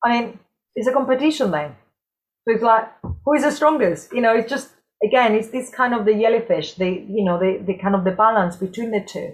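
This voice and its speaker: Speaking at a fairly quick pace in a Spanish accent, a woman with a fairly high pitch sounds somewhat breathy and shows ordinary pitch variation. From southern Spain, Cordoba. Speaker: dance and health specialist. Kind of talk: casual chat.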